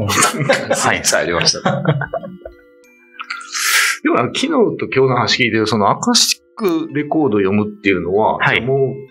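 A man speaks with long, frequent pauses. Faint music plays in the background. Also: moderate pace. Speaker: actor, radio co-host. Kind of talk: casual radio talk. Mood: relaxed, calm chat. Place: meeting room. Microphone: studio mic.

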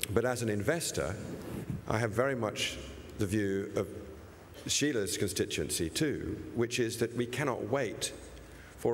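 The speaker is a man with a British accent. He talks at a moderate pace with ordinary pitch variation. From England. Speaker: climate finance executive. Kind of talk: panel discussion. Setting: stage with audience.

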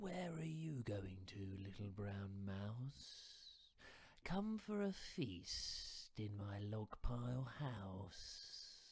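Very slow pace in a put-on character voice. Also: man, medium pitch for a man. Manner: alarmed at the end.

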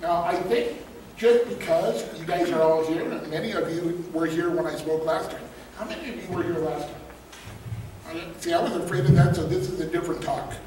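Talking at a fairly quick pace, a man with a high-pitched voice and ordinary pitch variation comes through with light background noise and audible room echo. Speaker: guest. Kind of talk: motivational talk. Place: hall. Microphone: camera far.

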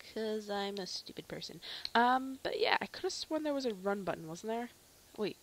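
What you hear is a natural reading voice.

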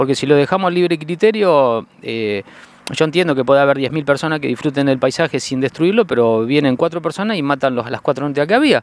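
A man races along at a very fast pace, his fairly high voice lively in intonation and the sound dry with no echo. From Argentina. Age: 50s. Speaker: photographer; witness. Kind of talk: interview. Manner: hesitant, many filler sounds. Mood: concerned, indignant. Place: waterside. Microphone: handheld.

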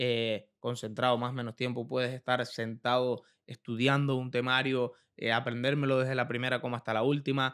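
A man talks at a moderate pace against a quiet background. His intonation is monotone and flat. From Canary Islands. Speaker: podcast host. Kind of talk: interview. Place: studio. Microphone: studio mic.

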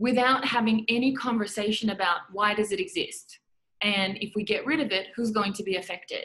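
With an Australian accent, this voice moves along at a moderate pace. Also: woman. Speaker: innovation consultancy founder and CEO. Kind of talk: webinar interview. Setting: video call. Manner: halting, many fillers.

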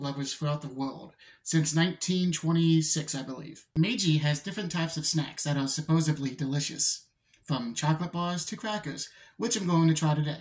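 A man talks with ordinary pitch variation, moving at a fairly quick pace. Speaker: snack reviewer. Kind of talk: casual vlog chat. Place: home room.

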